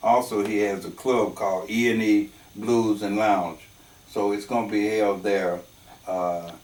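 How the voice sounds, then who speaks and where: Against noticeable background noise, a man with a fairly low pitch speaks at a fairly slow pace in a monotone, flat way. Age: 70s. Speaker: horn player and arranger. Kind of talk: interview. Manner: halting.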